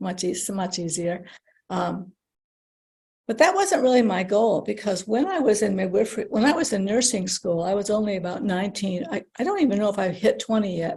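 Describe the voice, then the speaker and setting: A woman speaks with an American accent in a dark, mellow, somewhat breathy tone. Her pace is fairly quick and her pitch varies in an ordinary way. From United States. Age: 60s. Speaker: former nurse-midwife. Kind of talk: podcast interview. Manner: halting.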